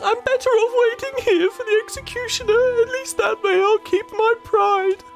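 A put-on character voice, female-sounding and extremely high-pitched, moves at a moderate pace over clear background music. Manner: defiant, badass.

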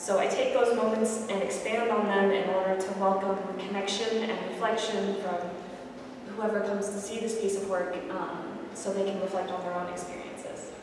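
A woman's voice with monotone, flat intonation, strong room echo, and noticeable background noise. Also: moderate pace. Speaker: visual artist. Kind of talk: artist lecture. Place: hall. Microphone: camera far.

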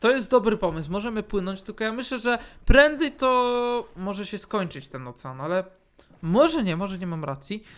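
A man speaks at a moderate pace in an animated tone, his pitch swinging very widely. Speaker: gaming YouTuber. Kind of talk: casual gameplay commentary.

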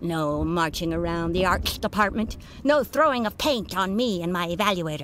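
A woman with a normal speaking voice talks at a fairly low pitch and a moderate pace. Her intonation is lively. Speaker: voice of the demon boss character.

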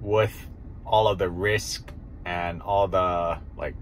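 Light background noise accompanies a man as he talks. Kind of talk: casual vlog chat. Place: car. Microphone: phone near.

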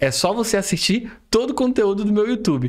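Over a quiet background, a man talks in a high pitch with very wide pitch swings. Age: 30s. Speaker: forex trader and online educator; online educator. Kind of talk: educational monologue; live stream talk to viewers. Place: home room.

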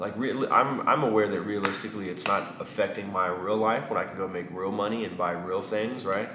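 A man with a Texan accent talks at a fairly quick pace with hardly any pauses and fairly low pitch. Noticeable background noise is present. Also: fairly even intonation. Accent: Texan Southern US. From East Texas, US (small town). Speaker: barber and vlogger; barber vlogger. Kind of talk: casual vlog monologue; casual vlog chat. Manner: halting with many fillers. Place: shop.

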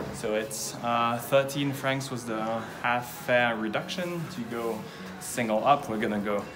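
Over clear background music, a man speaks at a fairly slow pace. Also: ordinary pitch variation. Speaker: travel vlogger. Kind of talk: casual vlog chat. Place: street. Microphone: phone near.

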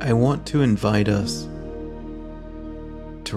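A man talks while clear music is heard in the background. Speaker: meditation guide. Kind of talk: guided meditation. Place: home room. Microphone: earbuds.

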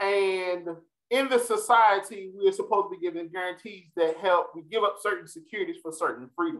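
Speaking with an American accent, a man talks high and fairly quickly with lively intonation and big swings in loudness over a quiet background. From US South, North Carolina. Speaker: political science professor. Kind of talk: lecture; Q&A discussion. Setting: stage with audience. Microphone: webcam.

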